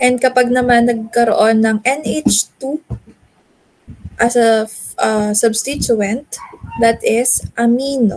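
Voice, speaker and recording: Speaking very slowly with long, frequent pauses, a woman uses a high pitch and fairly even intonation. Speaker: chemistry teacher. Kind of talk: lecture.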